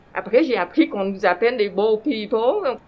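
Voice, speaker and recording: A woman speaks with a Vietnamese accent. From Vietnam, then Quebec from age 15. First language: Vietnamese (speaking French). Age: 50s. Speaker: former refugee, community member. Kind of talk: personal testimony in conversation.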